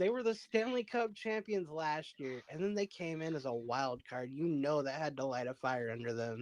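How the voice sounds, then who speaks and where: Speaking at a moderate pace with hardly any pauses, a man uses a fairly high pitch that moves in very wide swings. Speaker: sports podcast host. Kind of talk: casual chat.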